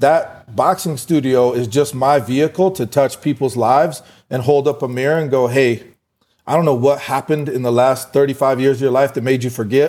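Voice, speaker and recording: A man with an American accent talks at a fairly quick pace and medium pitch, using ordinary pitch variation. He has an ordinary speaking voice, captured in a very clean recording with a silent background. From US West (Fort Collins, Colorado). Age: 40s. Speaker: entrepreneur and boxing gym owner. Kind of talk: interview.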